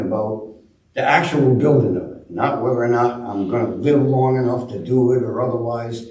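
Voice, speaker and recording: Audible room echo and noticeable background noise around a man's medium pitch. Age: 70s. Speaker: shipwright. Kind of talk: talk to a club audience. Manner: halting, many fillers.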